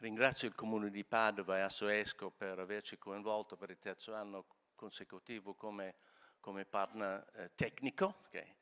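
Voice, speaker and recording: A man's fairly low, bright, sharp voice, monotone and flat in intonation, at a moderate pace, with big swings in loudness and a dry, close sound with no echo. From Scotland. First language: English (speaking Italian). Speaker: law firm president. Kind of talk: greeting speech at conference. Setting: auditorium with live audience. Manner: hesitant, fillers.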